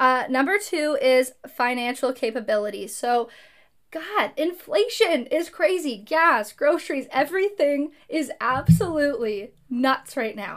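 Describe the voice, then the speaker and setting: Her pitch high, a woman speaks at a fairly slow pace with very wide pitch swings. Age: 20s. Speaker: podcast host and content creator. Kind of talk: casual solo monologue.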